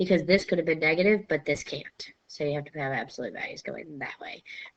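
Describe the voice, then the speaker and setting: Using an ordinary speaking voice, a woman talks at a fairly quick pace and fairly low pitch with fairly even intonation. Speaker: math teacher. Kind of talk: lecture.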